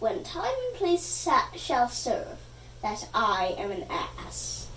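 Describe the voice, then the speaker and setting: Someone performs a put-on character voice at a fairly slow pace. Clear background noise and a slight echo are present. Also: woman. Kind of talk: comic overacting. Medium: stage play. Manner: pompous, confused.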